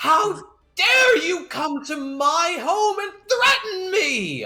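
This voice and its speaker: A put-on character voice, shrill and extremely high-pitched, at a very slow pace. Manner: angry, screeching.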